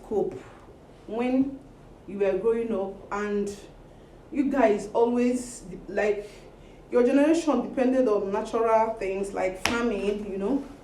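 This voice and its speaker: Audible room echo surrounds a woman who speaks at a fairly slow pace with lively intonation. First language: not English. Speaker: social media personality. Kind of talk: casual vlog monologue. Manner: animated.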